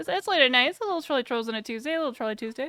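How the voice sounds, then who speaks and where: A woman with an American accent speaks in a high, bright and sharp voice with very wide pitch swings, on a very clean recording with a silent background. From US West Coast, San Francisco Bay Area. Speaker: live streamer. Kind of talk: casual reaction stream chat. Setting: live stream. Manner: fast.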